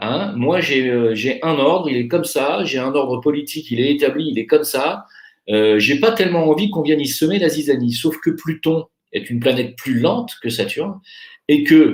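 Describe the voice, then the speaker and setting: A man speaks in a normal speaking voice at a moderate pace. His pitch is fairly high and his intonation lively. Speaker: astrologer. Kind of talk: monologue.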